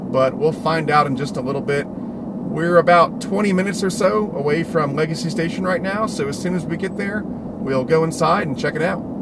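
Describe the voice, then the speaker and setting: A man at a fairly quick pace, dry with no echo, over loud background noise. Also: hardly any pauses. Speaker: hobby channel host. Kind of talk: casual vlog chat. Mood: excited, upbeat. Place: car. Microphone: phone near.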